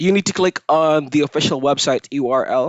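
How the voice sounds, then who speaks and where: Speech comes at a fairly slow pace, with a non-native accent. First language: not English. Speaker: online freelancer and tutorial youtuber. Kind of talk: screen-recorded tutorial. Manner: casual, with fillers like uh and um.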